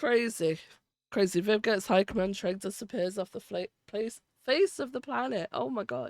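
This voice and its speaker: The voice shows vocal fry and very wide pitch swings at a moderate pace, in a very clean recording with a silent background and a dry, close sound with no echo. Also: woman, medium pitch for a woman. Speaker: streamer playing roleplay game. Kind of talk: live gameplay stream chat.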